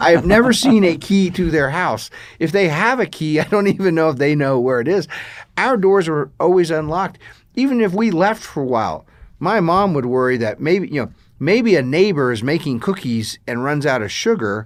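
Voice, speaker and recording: A man with an American accent speaks at a moderate pace with a fairly high pitch and very wide pitch swings, on a very clean recording with a silent background. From US Midwest, Kansas. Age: 50s. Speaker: podcast co-host. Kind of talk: casual chat. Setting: studio.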